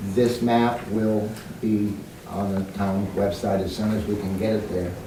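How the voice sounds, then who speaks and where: Fairly low-pitched man's voice, fairly slow and monotone with flat intonation, amid noticeable background noise and audible room echo. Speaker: town planning committee member. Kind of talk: public meeting presentation. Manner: soft-spoken. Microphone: too quiet for audience.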